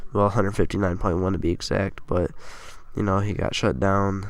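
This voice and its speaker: The man talks at a fairly quick pace with fairly even intonation. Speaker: sports gaming youtuber. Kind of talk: casual monologue of sports predictions.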